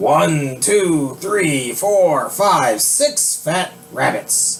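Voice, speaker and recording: A man speaks in a put-on character voice, fairly high for a man. His pace is very slow. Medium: read story. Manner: gloating.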